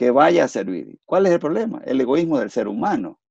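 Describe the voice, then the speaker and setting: At a moderate pace, a man talks with a dry, close sound and no echo. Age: 60s. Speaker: engineer and political commentator. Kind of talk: interview.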